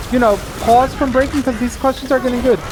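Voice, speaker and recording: Over noticeable background noise, the speaker uses an American accent. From United States. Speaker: streamer. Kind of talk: casual chat. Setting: live stream while gaming. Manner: halting, many fillers.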